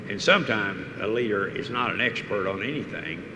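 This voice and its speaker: A man talks in a fairly low voice. Audible room echo and noticeable background noise surround him. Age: 80s+. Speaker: oil industry executive, keynote speaker. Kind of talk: on-stage interview. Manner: halting.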